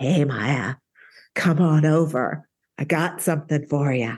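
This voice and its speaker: Against a quiet background, a raspy put-on character voice at a low-to-middle pitch moves at a fairly slow pace. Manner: wise, warm, calling someone over.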